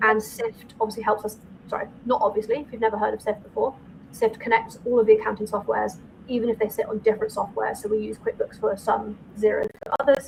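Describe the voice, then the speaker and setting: Against noticeable background noise, a woman speaks at a very fast pace with monotone, flat intonation. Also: fairly high pitch for a woman. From northern England. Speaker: accountant and firm owner. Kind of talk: podcast interview.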